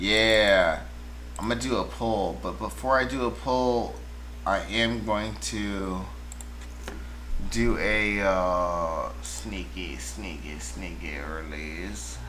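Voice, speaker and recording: The voice moves at a very slow pace with very wide pitch swings. Light background noise is present. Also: man, very deep, low pitch for a man. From Washington DC area, US. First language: Spanish. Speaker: music producer streamer. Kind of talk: casual livestream chat. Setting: livestream. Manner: halting.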